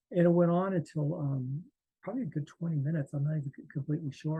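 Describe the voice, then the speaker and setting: A man with a dark, mellow tone speaks at a very fast pace in a dry, close sound with no echo. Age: 60s. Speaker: near-death experience survivor and artist. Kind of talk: interview testimony. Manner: halting, many fillers and restarts.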